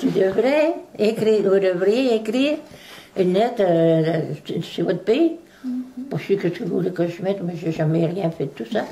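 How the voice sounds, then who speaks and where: Speaking at a fairly slow pace, this voice has a dark, mellow tone and very wide pitch swings. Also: woman, medium pitch for a woman. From Beauce, Loire valley, France. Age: 80s+. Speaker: writer of local letters. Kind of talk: interview answer.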